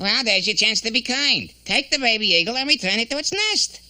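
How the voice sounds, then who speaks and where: A cartoonish character voice runs at a fairly quick pace with fairly high pitch. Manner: wisecracking, needling.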